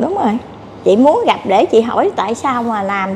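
Light background noise is present. The woman talks at a fairly slow pace. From southern Vietnam. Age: 50s. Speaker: scam victim seeking help; interviewee. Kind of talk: interview testimony. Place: cafe. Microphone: lapel.

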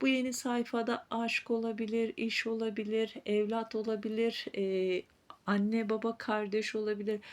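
Fairly slow speech from a woman, fairly high in pitch, with very even loudness and fairly even intonation. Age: 40s. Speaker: fortune teller / psychic YouTuber. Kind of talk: fortune-telling reading to viewers.

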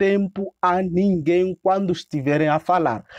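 A man is speaking. The background is quiet. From Mozambique. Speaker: YouTuber. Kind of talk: casual interview.

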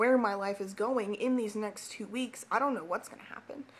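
A woman speaks at a fairly high pitch, keeping her intonation fairly even. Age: 20s. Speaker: vlogger. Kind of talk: personal vlog. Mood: emotional, personal confession. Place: home room. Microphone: webcam.

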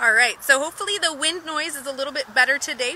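A raised, projected voice carries ordinary pitch variation. The sound is dry with no echo, with light background noise. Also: woman. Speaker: nature educator. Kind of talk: live educational walkthrough. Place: beach. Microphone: phone near.

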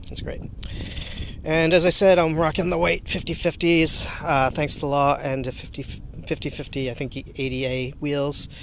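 A man speaks at a fairly high pitch with ordinary pitch variation. The sound is dry with no echo, over light background noise. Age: 40s. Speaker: inline skater and skate gear reviewer. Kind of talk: casual gear review vlog. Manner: halting, frequent fillers. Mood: upbeat, enthusiastic. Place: street. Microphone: phone near.

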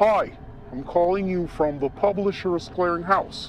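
Someone does a put-on character voice at a middle pitch and a moderate pace. Background noise is clearly audible. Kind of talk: formal, salesy.

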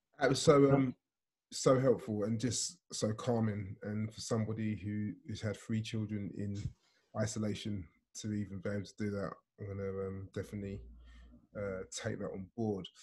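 Over a quiet background, a somewhat breathy man talks at a moderate pace and fairly low pitch with fairly even intonation. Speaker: conference host, pastor. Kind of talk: casual chat; host moderating Q&A. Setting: video call. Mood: warm, appreciative, calm. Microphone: video call.

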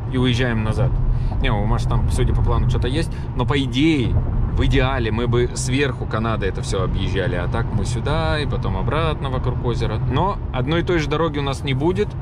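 A man talks at a fairly quick pace, his dry voice carrying no echo over loud background noise. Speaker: travel vlogger. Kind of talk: casual vlog chat. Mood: upbeat. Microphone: phone near.

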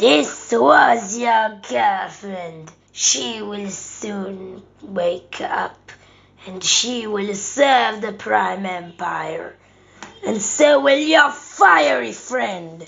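A woman talks at a very slow pace. Her pitch sits at a medium level. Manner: gloating, menacing.

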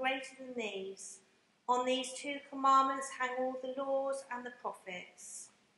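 A woman's raised, projected voice at a fairly slow pace, with audible room echo. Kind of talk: liturgical reading and prayer. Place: church.

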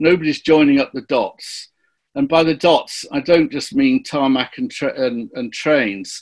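Over a quiet background, a man speaks at a fairly slow pace. His fairly high pitch makes very wide swings. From northern England (Barrow-in-Furness, Cumbria); northern England. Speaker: journalist. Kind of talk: webinar panel discussion. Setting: online webinar. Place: home room. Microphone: video call.

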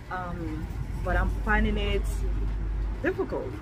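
A woman is speaking. Clear music plays behind her. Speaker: vlogger. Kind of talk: casual vlog chat. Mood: anxious, hesitant. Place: street. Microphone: phone near.

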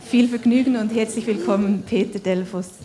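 A woman's fairly high, dark and mellow voice at a moderate pace, with fairly even intonation and faint background noise

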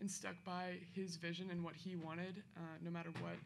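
A woman at a moderate pace, fairly low in pitch, with little pitch movement and vocal fry

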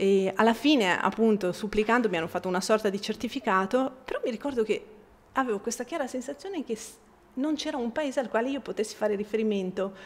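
A woman's very fast speech in an Italian accent, fairly high in pitch with ordinary pitch variation. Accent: Italian accent when speaking Bosnian. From Bosnia. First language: Bosnian (speaking Italian). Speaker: writer and translator; guest. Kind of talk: public talk. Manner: halting, many repetitions. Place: hall.

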